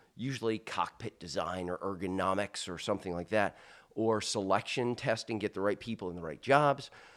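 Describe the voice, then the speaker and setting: On a very clean recording with a silent background, a man with an unremarkable speaking voice talks at a fairly quick pace, with fairly low pitch and ordinary pitch variation. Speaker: leadership speaker and retired military officer. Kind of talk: casual interview. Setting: in a house.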